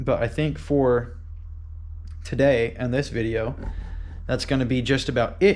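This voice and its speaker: Medium-pitched man at a fairly slow pace, with long, frequent pauses and audible room echo. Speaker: car builder vlogger. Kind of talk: casual garage vlog. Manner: animated.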